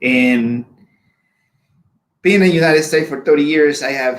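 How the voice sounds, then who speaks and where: The voice belongs to a man. He speaks with a Spanish accent. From Honduras. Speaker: immigrant sharing life story. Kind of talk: personal testimony. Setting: live video show.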